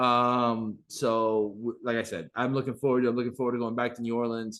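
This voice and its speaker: At a fairly quick pace, a man with a medium pitch speaks in an animated tone. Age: 30s. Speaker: podcast host. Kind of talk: casual chat.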